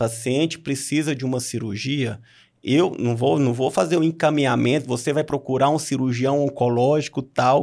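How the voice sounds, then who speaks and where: A man with an ordinary speaking voice, medium pitch, and fairly even intonation talks at a moderate pace on a very clean recording with a silent background. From Brazil, Minas Gerais (Noroeste Mineiro). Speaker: oncologist. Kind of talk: casual interview.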